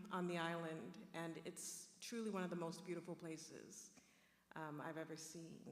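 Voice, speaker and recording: A woman with an American accent speaks at a moderate pace and a fairly low pitch, with audible room echo. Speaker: professor and panel moderator. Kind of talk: panel discussion moderation. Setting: stage with live audience. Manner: warm, conversational.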